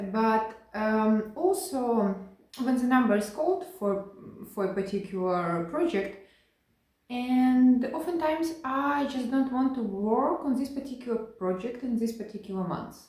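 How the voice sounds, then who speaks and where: This woman has a non-native accent and a high pitch, with lively intonation. She talks at a fairly slow pace, and room echo is audible. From Ukraine. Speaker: cross-stitch video creator. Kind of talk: casual hobby vlog. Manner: halting, many fillers and restarts.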